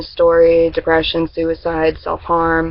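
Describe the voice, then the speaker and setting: Moderate pace against noticeable background noise. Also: woman. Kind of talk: casual talk to camera.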